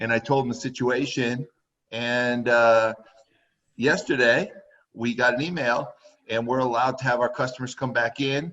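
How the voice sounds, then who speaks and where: A man with an American accent talks at a moderate pace in a normal speaking voice, medium in pitch, with fairly even intonation. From Connecticut (Woodbury/Waterbury). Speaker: horse trainer. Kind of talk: casual interview chat.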